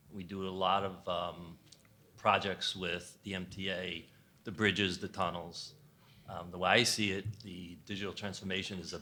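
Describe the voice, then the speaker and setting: In a New York accent, a man speaks with very deep, low pitch and a bright, sharp tone. His intonation is monotone and flat, yet his loudness swings widely. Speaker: infrastructure business executive. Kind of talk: panel discussion.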